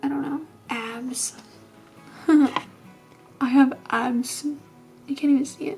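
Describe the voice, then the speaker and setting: A woman's high-pitched voice with music in the background. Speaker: vlogger. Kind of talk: casual vlog talk to camera.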